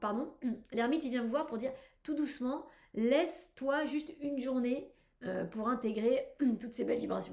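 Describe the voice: Someone uses a hoarse put-on character voice at a moderate pace. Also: woman, high pitch for a woman.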